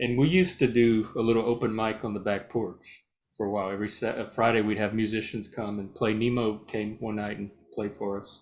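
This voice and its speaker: Music plays in the background as a man speaks. His pace is fairly quick and his intonation fairly even. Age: 50s. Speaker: guest. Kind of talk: casual chat.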